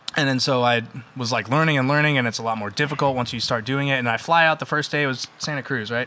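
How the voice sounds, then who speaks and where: Noticeable background noise sits under a man talking at a very fast pace and medium pitch. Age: 30s. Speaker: metal band musician. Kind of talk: casual chat. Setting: in-person studio recording.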